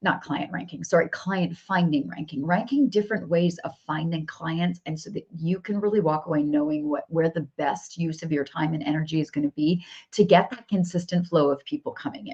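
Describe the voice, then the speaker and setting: A woman's somewhat breathy, fairly low voice at a fairly quick pace, with ordinary pitch variation and hardly any pauses. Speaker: business coach. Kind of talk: live stream coaching session. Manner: animated.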